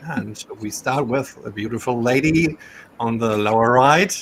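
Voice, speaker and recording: A German accent at a fairly slow pace, amid noticeable background noise. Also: man. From Germany. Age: 40s. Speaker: gaming podcast host. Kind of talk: casual podcast chat.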